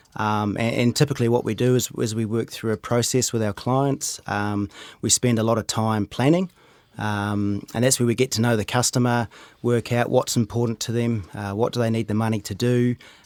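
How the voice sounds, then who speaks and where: A man with a New Zealand accent speaks at a moderate pace and medium pitch, his intonation fairly even and the sound dry and close with no echo. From New Zealand, Rotorua. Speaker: wealth manager. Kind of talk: casual chat. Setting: studio.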